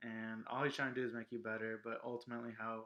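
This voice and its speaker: A man with an American accent, medium pitch and a fairly quick pace. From Los Angeles. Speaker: vlog co-host. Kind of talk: casual chat. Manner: loud.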